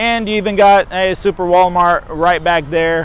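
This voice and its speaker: The man's voice is high in pitch. His intonation is fairly even. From Texas. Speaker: real estate agent and vlogger. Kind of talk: walking tour vlog. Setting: outdoors. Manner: casual, rambling with fillers.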